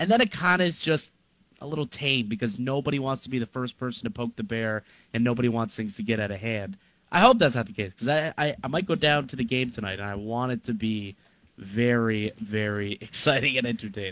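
This man has a normal speaking voice at a medium pitch. His intonation is lively and his pace fairly quick. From Ontario, Niagara region. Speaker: sports radio host. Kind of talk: casual sports talk.

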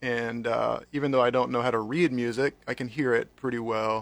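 A normal speaking voice from a man at medium pitch, moderate in pace with fairly even intonation, on a very clean recording with a silent background. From North Carolina. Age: 40s. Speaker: pastor. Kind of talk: casual chat.

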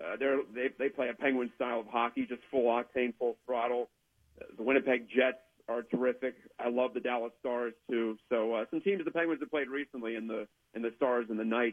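A man speaks fairly quickly with an American accent, a medium pitch and fairly even intonation. It is a plain, everyday voice. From West Virginia (Weirton). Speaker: hockey writer. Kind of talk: sports talk interview.

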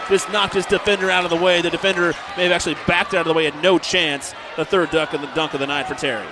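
A man's high, energetic voice at a very fast pace over noticeable background noise. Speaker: play-by-play radio announcer. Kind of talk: live sports commentary. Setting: gym, radio broadcast. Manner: rapid, energetic play-by-play.

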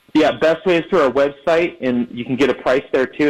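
Fairly high in pitch for a man, an ordinary speaking voice moves with fairly even intonation. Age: 30s. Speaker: moving company co-founder. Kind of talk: radio interview.

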